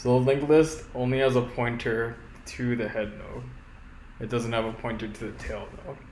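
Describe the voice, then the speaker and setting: Mumbling, a man speaks at a medium pitch. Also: fairly even intonation, moderate pace. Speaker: programmer. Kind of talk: coding tutorial narration.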